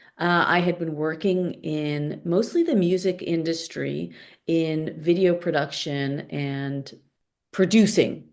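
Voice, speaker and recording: A woman with an American accent speaks at a very slow pace, fairly low in pitch, with fairly even intonation. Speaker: product coach. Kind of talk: podcast interview.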